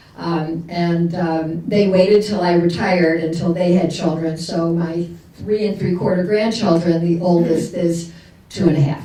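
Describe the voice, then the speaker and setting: A woman speaks at a moderate pace and fairly low pitch, in a monotone, flat way. There is audible room echo and noticeable background noise. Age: 70s. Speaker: retired nonprofit chief executive, panelist. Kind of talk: conference panel discussion. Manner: hesitant, many fillers.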